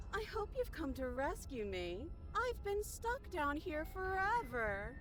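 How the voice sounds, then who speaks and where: A female-sounding put-on character voice speaks at a fairly slow pace with a high pitch. Clear background noise runs underneath. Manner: almost charming, sweetly pleading.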